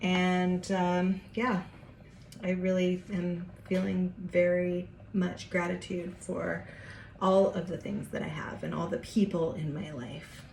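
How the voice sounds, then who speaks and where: Very slowly and with fairly even intonation, a woman speaks at a fairly low pitch amid audible room echo. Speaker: home cooking vlogger. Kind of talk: casual cooking tutorial. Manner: chatty, informal; whispering at times.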